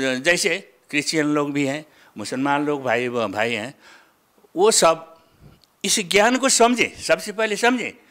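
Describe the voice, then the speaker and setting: This man's voice has a bright, sharp tone and fairly high pitch. His pitch swings very widely. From Nepal. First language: Nepali (speaking Hindi). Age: 70s. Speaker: religious follower. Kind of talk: interview testimony. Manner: halting.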